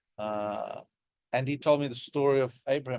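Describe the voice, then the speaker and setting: The sound is dry and close with no echo. A man with an Australian accent speaks in a fairly high voice with ordinary pitch variation. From Sydney, Australia. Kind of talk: interfaith dialogue talk.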